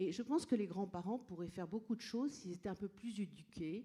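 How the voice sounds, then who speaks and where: Moving at a moderate pace, the speaker's dark, mellow tone shows ordinary pitch variation. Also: woman. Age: 60s. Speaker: audience member, trainer and coach. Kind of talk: audience question at public debate. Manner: animated; halting.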